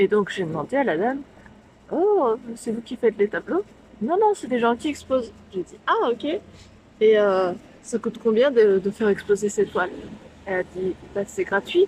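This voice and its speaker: Breathy in some measure, a woman speaks at a fairly slow pace with a fairly high pitch, lively intonation and big swings in loudness. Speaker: vlogger and painter. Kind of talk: vlog storytelling. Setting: bar. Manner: whispering.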